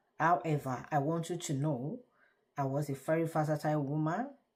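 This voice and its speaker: Someone with a Nigerian accent speaks at a moderate pace, somewhat breathy, with ordinary pitch variation, in a very clean recording with a silent background. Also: woman. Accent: Nigerian (Yoruba) English. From Nigeria, Yoruba. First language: Yoruba. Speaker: vlogger. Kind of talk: casual talk to camera. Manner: halting.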